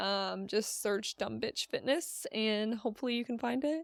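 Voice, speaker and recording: Moving at a fairly slow pace, an ordinary speaking voice shows ordinary pitch variation. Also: woman, dry, close sound with no echo, very clean recording, silent background. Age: 20s. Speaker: fitness coach and podcast host. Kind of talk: casual solo podcast talk. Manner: casual, filler-heavy.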